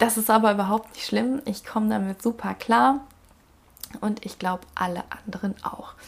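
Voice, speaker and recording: Somewhat breathy, a woman at a fairly high pitch talks at a moderate pace with ordinary pitch variation. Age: 20s. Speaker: podcast host, single mother. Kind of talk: casual monologue.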